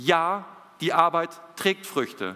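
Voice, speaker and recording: High-pitched man's voice with a bright, sharp tone. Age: 30s. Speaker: missionary preacher. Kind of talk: sermon.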